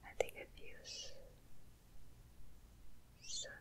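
A woman whispers in a soft-spoken way. Light background noise can be heard. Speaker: ASMR content creator. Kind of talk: soft casual ASMR chat. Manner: soft close-mic ASMR whisper. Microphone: studio mic.

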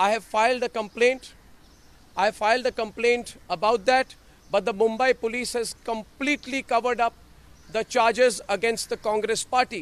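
This man's voice sits at an extremely high pitch, with fairly even intonation at a moderate pace. The sound is dry, with no echo. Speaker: news anchor giving press statement. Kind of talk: press statement to reporters. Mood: firm, defiant. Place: street. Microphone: handheld.

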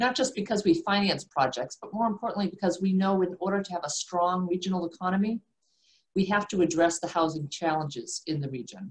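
With an American accent, a woman talks at a medium pitch and a fairly quick pace, sounding somewhat breathy, her pitch varying in an ordinary way. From South Shore, Massachusetts. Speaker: commercial banker. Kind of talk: prepared remarks.

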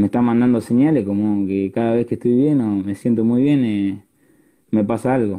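A man's dark, mellow tone at a moderate pace, with fairly even intonation, very even loudness and a quiet background. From Argentina, La Plata; Argentina. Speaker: youth football player; interviewee. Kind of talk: casual chat. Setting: Instagram live video call. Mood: calm, grateful. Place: home room. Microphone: earbuds.

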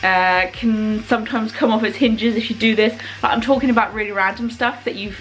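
The speech moves at a fairly quick pace with ordinary pitch variation over light background noise. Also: woman. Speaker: vlogger. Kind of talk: casual vlog chat. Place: kitchen. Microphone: phone near.

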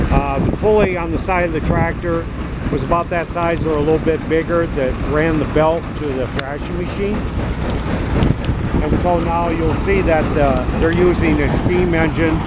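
A man with an American accent, in a dry sound with no echo, over loud background noise. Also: moderate pace. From northeast Iowa, USA. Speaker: former farm boy recalling threshing. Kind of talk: unrehearsed interview answer. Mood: fond, nostalgic. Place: farm machine. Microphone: phone near.

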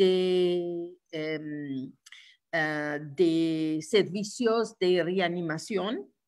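Very slowly, a woman speaks in an Italian accent. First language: Italian (speaking Spanish). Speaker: trade union leader. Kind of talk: lecture. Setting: video call. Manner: halting.

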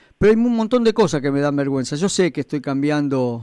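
With a Rioplatense accent, a dark, mellow voice comes through in a dry sound with no echo over a quiet background. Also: man. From Argentina. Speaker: radio host. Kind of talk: radio sports talk show. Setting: radio studio. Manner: hesitant, repeats words, conversational. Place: studio.

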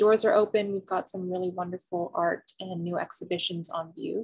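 The speech moves at a moderate pace with monotone, flat intonation. The background is quiet. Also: woman. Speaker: museum program host. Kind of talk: online program introduction. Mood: warm, calm, welcoming. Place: home room. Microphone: webcam.

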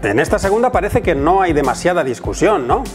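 A man speaks in an upbeat, playful tone while music plays in the background. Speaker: voice actor. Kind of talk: casual educational talk to camera.

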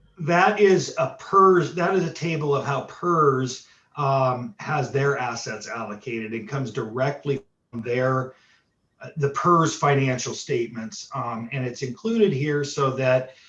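A man with a fairly high pitch speaks fairly slowly in a normal speaking voice, his pitch varying in an ordinary way. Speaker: auditor. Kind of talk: presentation Q&A at board meeting.

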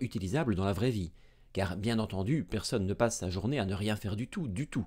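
Fairly quick speech from a man with a fairly low pitch and a dark, mellow tone, over a quiet background. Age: 30s. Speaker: medical doctor and science educator; science educator. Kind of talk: educational video lecture. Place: studio. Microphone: studio mic.

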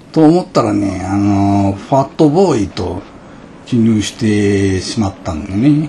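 With a Hiroshima accent, a man speaks at a fairly slow pace and a fairly low pitch, using lively intonation over light background noise. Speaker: vlogger. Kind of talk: casual vlog narration. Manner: relaxed, easygoing. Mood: self-deprecating joking. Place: open country. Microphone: phone near.

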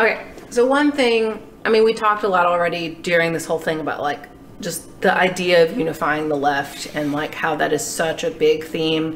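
A woman with an American accent speaks at a moderate pace and a fairly low pitch. Noticeable background noise runs underneath. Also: ordinary pitch variation. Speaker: podcast co-host and student. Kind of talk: casual chat. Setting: in person studio recording.

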